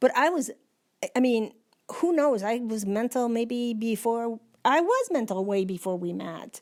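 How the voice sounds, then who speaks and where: A woman with a fairly high pitch speaks in a normal speaking voice with lively intonation. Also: fairly slow pace. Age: 60s. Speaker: person living with Alzheimer's. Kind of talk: casual chat. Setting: at home.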